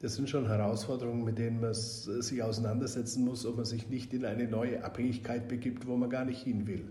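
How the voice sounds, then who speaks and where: A man speaks at a fairly quick pace with hardly any pauses, his intonation monotone and flat. Noticeable background noise and audible room echo surround his voice. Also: medium pitch for a man. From Bavaria, Augsburg (Swabia). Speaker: member of European Parliament. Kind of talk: podcast interview.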